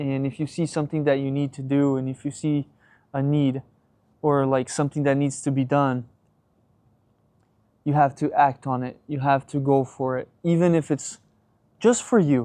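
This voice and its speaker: A man with a fairly high pitch and a dark, mellow tone speaks at a moderate pace, using long, frequent pauses. His intonation stays fairly even against a quiet background. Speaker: vlogger. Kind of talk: casual vlog monologue. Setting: outdoors on workplace patio. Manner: halting, many fillers and repeats.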